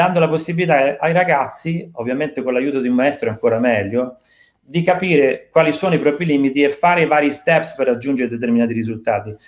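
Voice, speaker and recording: The background stays quiet. A man talks with ordinary pitch variation. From Italy. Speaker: drummer and drum teacher; drum teacher. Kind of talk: live online interview. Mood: calm, thoughtful. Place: home room.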